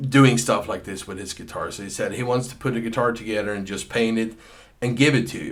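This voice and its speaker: Amid audible room echo, a man speaks at a fairly quick pace with medium pitch, fairly even intonation and big swings in loudness. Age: 50s. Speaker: session guitarist. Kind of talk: personal storytelling. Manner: hesitant, with many repeated words.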